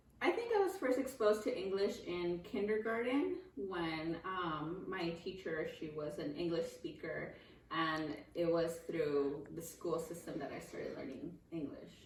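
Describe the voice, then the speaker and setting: Over noticeable background noise and audible room echo, a woman speaks fairly slowly with a fairly low pitch and lively intonation. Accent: Spanish. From California, grew up bilingual in Mexican family. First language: Spanish. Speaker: interviewee. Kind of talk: interview.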